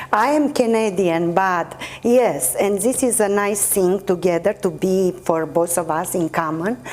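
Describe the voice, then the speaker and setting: With a Romanian accent, a woman talks at a fairly slow pace with hardly any pauses, very even loudness and ordinary pitch variation over noticeable background noise. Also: medium pitch for a woman. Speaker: actress and poet. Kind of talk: interview.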